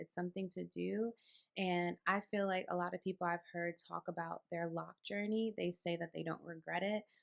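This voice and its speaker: Soft-spoken, a woman with an American accent talks at a fairly low pitch, the sound dry and close with no echo. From New York. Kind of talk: casual talk to camera.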